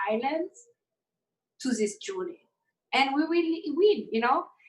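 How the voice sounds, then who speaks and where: Lively in intonation, a woman's speech unfolds fairly slowly. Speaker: interview guest. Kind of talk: live panel interview.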